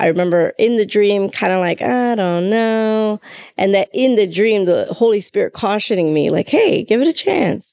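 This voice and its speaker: Dark, mellow tone at a moderate pace, with very even loudness. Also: woman, fairly high pitch for a woman, ordinary pitch variation. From Chicago, US Midwest. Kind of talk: casual conversation about faith.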